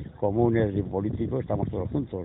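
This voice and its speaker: This is a man speaking. His pitch sits fairly low. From Spain, Castellón province. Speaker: former political prisoner. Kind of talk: testimony. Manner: halting, repetitive.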